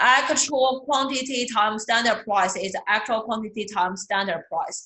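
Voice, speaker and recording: A fairly high-pitched woman at a fairly slow pace, with ordinary pitch variation and audible room echo. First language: not English. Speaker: accounting instructor. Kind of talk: lecture. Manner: repetitive, hesitant with fillers.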